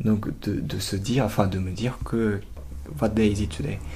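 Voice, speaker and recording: A man's fairly low voice with vocal fry and a Japanese accent, at a fairly slow pace with ordinary pitch variation. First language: Japanese (speaking French). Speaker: art student. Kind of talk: interview. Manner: halting.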